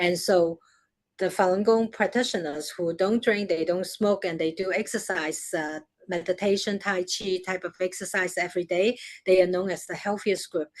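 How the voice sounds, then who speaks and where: Speaking at a medium pitch, a woman has a Chinese accent. Her intonation is fairly even, and her pace is moderate. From China. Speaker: media executive. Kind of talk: interview. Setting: live stream.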